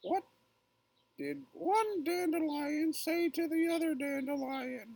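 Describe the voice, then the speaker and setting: This is a put-on character voice, squeaky and high-pitched. It moves at a fairly slow pace. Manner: lips barely moving; joking.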